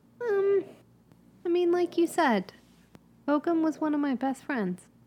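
In a put-on character voice, a woman speaks at a fairly slow pace with an extremely high pitch, big pitch swings and a dark, mellow tone.

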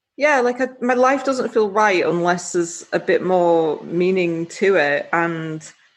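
Against a quiet background, a woman in a Yorkshire accent speaks at a moderate pace with a fairly low pitch and ordinary pitch variation. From northern England, West Yorkshire. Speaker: adventurer and wheelchair user. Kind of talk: interview, casual chat.

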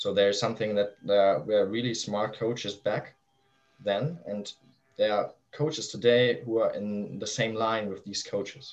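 A man speaks at a medium pitch with a German accent. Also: fairly even intonation, moderate pace. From northern Germany. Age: 20s. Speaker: youth football coach. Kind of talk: interview. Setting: video call.

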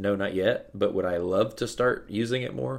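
Recorded very cleanly with a silent background, a man with an American accent speaks fairly quickly in a normal speaking voice, pitched fairly low for a man. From US Midwest (central Illinois). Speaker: business owner. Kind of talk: casual interview.

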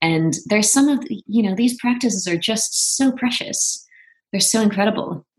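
Somewhat breathy, a woman speaks at a fairly high pitch and a moderate pace with lively intonation. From Netherlands, Venlo (southeast). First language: Dutch. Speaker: actress. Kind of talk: casual chat.

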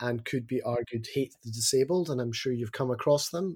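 This man talks at a moderate pace with a dark, mellow, somewhat breathy tone, a medium pitch and ordinary pitch variation. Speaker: education advocate with doctorate, teaches students. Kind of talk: podcast interview. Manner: animated, opinionated.

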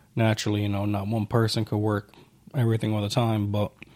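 A man with an American accent at a medium pitch, on a very clean recording with a silent background. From New York. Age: 20s. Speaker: security worker, army reservist, podcast co-host. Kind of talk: casual chat.

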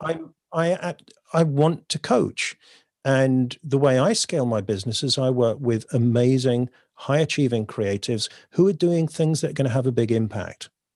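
With an English accent, a man talks at a moderate pace and medium pitch with ordinary pitch variation, the sound dry and close with no echo over a quiet background. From southern England, North Devon. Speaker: poet and creative coach. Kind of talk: interview conversation.

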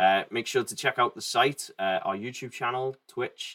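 Delivered at a moderate pace with fairly even intonation, the speech carries an English accent and is recorded dry and close with no echo, over a silent background in a very clean recording. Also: man. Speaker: podcast host. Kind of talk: casual chat.

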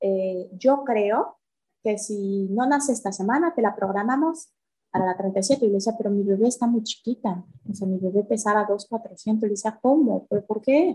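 A woman's fairly high, somewhat breathy voice with a dark, mellow tone, ordinary pitch variation and a moderate pace. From Mexico City. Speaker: yoga teacher sharing birth stories. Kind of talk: personal testimony in interview.

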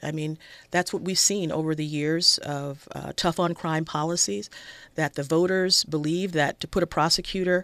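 Recorded very cleanly against a silent background, a woman with a Los Angeles accent talks at a moderate pace with ordinary pitch variation in a dry, close sound with no echo. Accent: American, Los Angeles. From South Central Los Angeles. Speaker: public defender running for judge. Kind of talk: radio interview.

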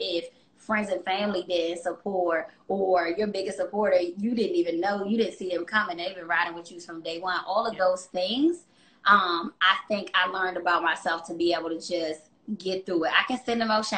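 A woman's medium-pitched voice, an ordinary speaking voice, with fairly even intonation and a moderate pace. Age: 30s. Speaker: fitness business owner. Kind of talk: casual interview chat.

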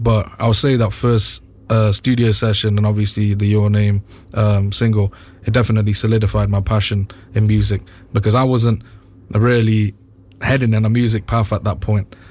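At a moderate pace, a man with a fairly low, somewhat breathy voice speaks in a flat monotone at very even loudness. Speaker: R&B singer. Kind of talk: casual chat. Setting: studio.

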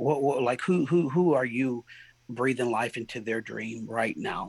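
At a medium pitch and fairly slow pace, a man with an American accent speaks with ordinary pitch variation. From San Diego, California. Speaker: pastor. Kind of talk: interview conversation. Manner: halting.

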